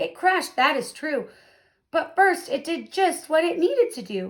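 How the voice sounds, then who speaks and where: Putting on a squeaky character voice, a woman speaks at a moderate pace with an extremely high pitch and a warm tone. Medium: read story. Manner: warm, encouraging.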